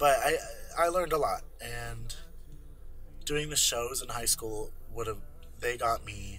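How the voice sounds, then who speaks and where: With audible room echo, a man speaks at a fairly slow pace, leaving long, frequent pauses. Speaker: musical theater performer. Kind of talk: interview.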